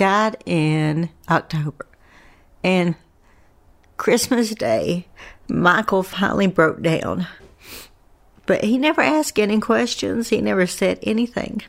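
Speaking with an Appalachian accent, a woman uses a medium pitch with very wide pitch swings. Her speech has long, frequent pauses. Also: fairly slow pace. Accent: gentle Appalachian drawl. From US South, Asheville, North Carolina. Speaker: bereaved mother of a fallen Marine, teacher. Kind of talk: interview. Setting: at home.

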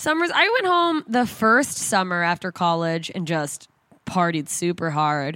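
A woman speaks at a fairly slow pace in a fairly low pitch, her bright, sharp tone animated, with ordinary pitch variation. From Southern Mississippi. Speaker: stand-up comedian. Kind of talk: casual interview chat.

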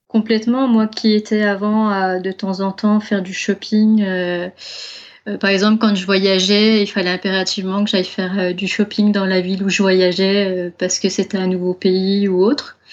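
At a moderate pace, a woman speaks in a monotone, flat intonation against a quiet background. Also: medium pitch for a woman. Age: 30s. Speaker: zero-waste advocate and online shop owner. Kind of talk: casual interview.

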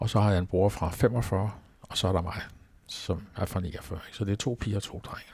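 Fairly low-pitched, somewhat breathy man's voice, fairly even in intonation and fairly slow, on a very clean recording with a silent background. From Denmark, Falster. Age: 70s. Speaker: retired pastor. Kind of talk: interview. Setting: at his home. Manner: hesitant, many fillers.

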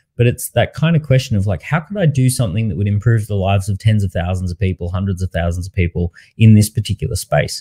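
With a dark, mellow tone and a somewhat breathy, fairly low voice, a man talks very fast with lively intonation and hardly any pauses, in a dry, close sound with no echo. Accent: Australian. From Australia. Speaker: entrepreneur and author. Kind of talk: interview. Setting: online live interview.

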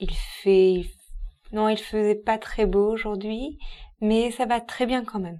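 Speaking very slowly with long, frequent pauses, a woman keeps a fairly high pitch and fairly even intonation. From southern France, Perpignan. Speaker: novelist. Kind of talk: casual chat.

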